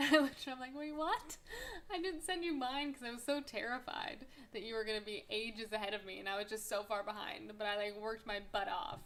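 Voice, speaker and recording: A woman speaks at a very fast pace, her fairly high voice full of lively intonation. Noticeable background noise runs underneath. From Canada, Vancouver, British Columbia. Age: 20s. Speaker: podcast host. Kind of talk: casual monologue. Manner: animated.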